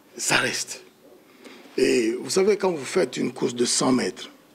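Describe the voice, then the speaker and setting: A man with lively intonation talks at a moderate pace as noticeable background noise plays around him. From DR Congo (Kinshasa). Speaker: diaspora political activist. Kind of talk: heated debate. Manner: forceful.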